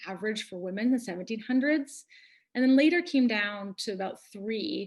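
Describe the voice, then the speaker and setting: Lively, fairly high-pitched female voice at a moderate pace. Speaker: nurse practitioner. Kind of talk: educational webinar talk.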